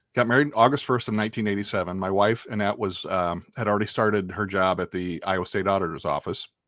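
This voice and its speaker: A fairly low-pitched man at a very fast pace with hardly any pauses, ordinary pitch variation, and a very clean recording with a silent background. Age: 60s. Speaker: former radio host. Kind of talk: casual interview chat. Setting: studio. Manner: halting, many fillers and restarts.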